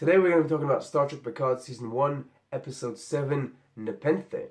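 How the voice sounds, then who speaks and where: Somewhat breathy and fairly quick, the voice shows ordinary pitch variation and big swings in loudness. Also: man, fairly high pitch for a man. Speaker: youtube reviewer. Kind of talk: video review.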